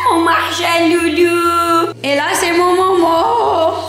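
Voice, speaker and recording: A woman speaks very slowly with an extremely high pitch and ordinary pitch variation. Faint music plays in the background amid audible room echo. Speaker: vlogger. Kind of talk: casual vlog chat. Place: home room. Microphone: phone near.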